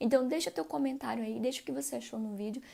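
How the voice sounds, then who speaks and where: Against a very clean recording with a silent background, a woman's voice carries a dark, mellow tone. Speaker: doctor and former teacher, career advice youtuber. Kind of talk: advice vlog. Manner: fast; animated, gesturing while speaking.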